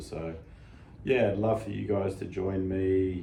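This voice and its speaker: This is a man with an Australian accent. His pitch is very deep and low. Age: 50s. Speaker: fitness channel host, lifter. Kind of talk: casual talk to camera. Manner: casual, conversational, hesitant.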